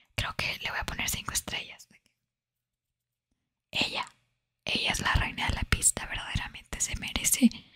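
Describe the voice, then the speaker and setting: A woman whispering at a moderate pace. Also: long, frequent pauses. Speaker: ASMR content creator. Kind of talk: casual talk to camera, gameplay commentary. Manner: whispered, soft-spoken. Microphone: studio mic.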